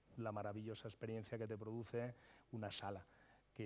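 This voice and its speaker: A man speaks at a fairly quick pace in a medium-pitched voice. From Madrid, Spain. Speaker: chef and restaurateur. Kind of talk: conference panel discussion. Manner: animated, with frequent hesitations.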